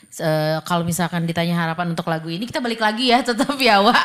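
A woman with a fairly low pitch speaks against a quiet background. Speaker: radio host. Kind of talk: casual interview chat. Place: studio. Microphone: studio mic.

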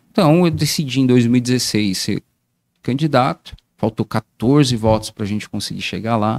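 A man's medium-pitched voice moves at a fairly slow pace, its pitch varying in an ordinary way. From Brazil, Guarulhos, greater São Paulo; São Paulo state, Brazil. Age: 40s. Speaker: municipal council pre-candidate; council candidate. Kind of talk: casual interview on livestream. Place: studio. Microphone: studio mic.

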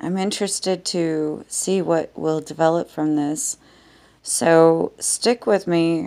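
A woman speaks at a very slow pace. Her pitch is fairly low and her intonation fairly even. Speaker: vlogger. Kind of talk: casual vlog chat. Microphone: phone near.

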